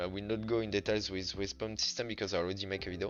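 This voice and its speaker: With music in the background, a man speaks in a very deep, low pitch and monotone, flat intonation. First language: French. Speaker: game developer. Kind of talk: tutorial. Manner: halting.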